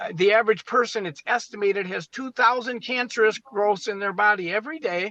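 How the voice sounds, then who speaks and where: At a fairly quick pace, a high-pitched man uses a raised, projected voice with a bright, sharp tone and ordinary pitch variation. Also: dry, close sound with no echo. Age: 60s. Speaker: medical doctor. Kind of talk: interview.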